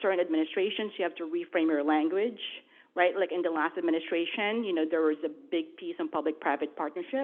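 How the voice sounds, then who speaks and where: Talking at a very fast pace, a woman with a Filipino accent uses a fairly low pitch. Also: ordinary pitch variation. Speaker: federal government official, panelist. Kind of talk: panel discussion. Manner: animated.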